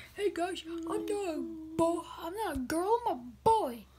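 A put-on character voice at an extremely high pitch. It moves at a very slow pace.

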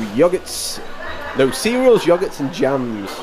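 A man talks at a fairly slow pace while clear music plays behind him. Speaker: travel vlogger. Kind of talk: casual walkthrough commentary. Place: cafe. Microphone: phone near.

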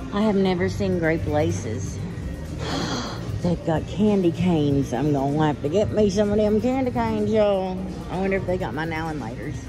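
Moderate pace over clear music in the background. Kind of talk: casual vlog chat. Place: shop. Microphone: phone near.

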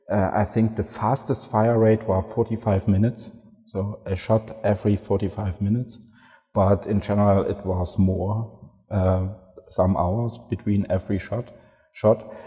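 Over a quiet background, a man speaks very slowly at a fairly low pitch, somewhat breathy and with monotone, flat intonation. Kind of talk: interview answer. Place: hall.

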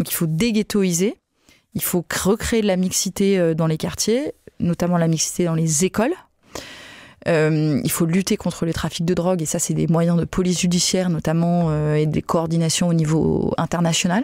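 A woman's dark, mellow tone at a fairly low pitch, fairly even intonation, very even loudness and a moderate pace, dry with no echo against a quiet background. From southern France, Nîmes; southern France. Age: 30s. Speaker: politician, party spokesperson. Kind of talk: interview. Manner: hesitant with many fillers. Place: studio. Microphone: studio mic.

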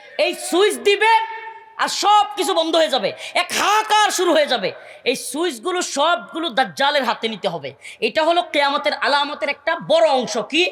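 Over noticeable background noise, a man talks with lively intonation at an extremely high pitch. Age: 30s. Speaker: Islamic preacher. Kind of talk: sermon.

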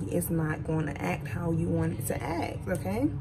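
Over light background noise, a woman talks at a fairly low pitch. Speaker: vlogger. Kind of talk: casual vlog chat. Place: car. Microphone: phone near.

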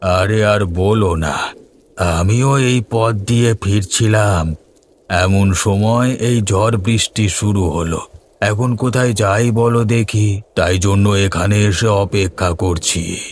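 A man puts on a cartoonish character voice pitched fairly low. He speaks at a fairly slow pace. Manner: soft, eerily friendly.

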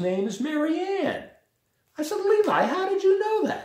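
A man speaks at a fairly slow pace. His tone is slightly mellow.

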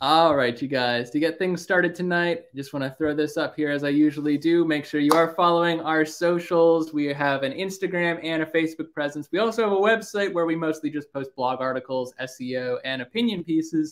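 Hardly pausing, a man talks with ordinary pitch variation. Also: fairly quick pace. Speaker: livestream host. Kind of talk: casual livestream chat. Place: home room. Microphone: webcam.

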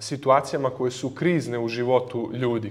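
Male speaker, moderate pace. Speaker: lecturer. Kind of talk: lecture. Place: hall. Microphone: studio mic.

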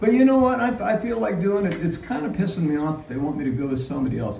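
Speech comes at a very fast pace with very wide pitch swings. Audible room echo and light background noise are present. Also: man. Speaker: family man vlogger. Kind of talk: casual vlog chat. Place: gym. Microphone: phone near.

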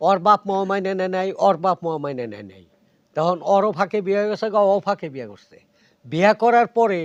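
Dry, close sound with no echo, from a man using ordinary pitch variation. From Tangail, Bangladesh. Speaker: comedic actor. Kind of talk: interview storytelling.

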